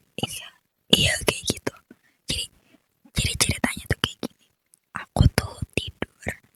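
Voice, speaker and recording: In a dry, close sound with no echo, a woman whispers at a fairly slow pace, pausing long and often. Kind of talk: personal horror story. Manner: whispered.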